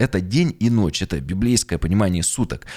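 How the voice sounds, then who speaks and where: With a normal speaking voice, a man talks at a fairly quick pace with lively intonation. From Yekaterinburg, Urals, Russia. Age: 30s. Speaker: pastor and podcast author. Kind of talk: monologue, video presentation of own podcast.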